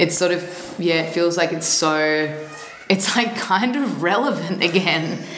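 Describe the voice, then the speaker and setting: A woman speaks at a moderate pace in a fairly low voice. There is audible room echo and noticeable background noise. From Australia, Melbourne. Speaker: musician. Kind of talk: interview. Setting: office.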